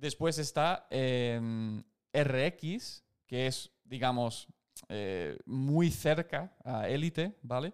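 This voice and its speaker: A man speaks at a very slow pace with fairly high pitch. His pitch varies in an ordinary way. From United States. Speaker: CrossFit coach and podcast co-host. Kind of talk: casual chat answering listener questions. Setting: live stream.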